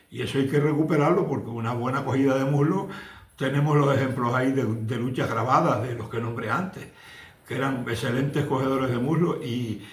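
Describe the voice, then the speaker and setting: Through audible room echo and noticeable background noise, a man of medium pitch talks at a moderate pace with ordinary pitch variation. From Canary Islands, La Palma. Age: 70s. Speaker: retired Canarian wrestler. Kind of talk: interview testimony. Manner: halting, with repetitions.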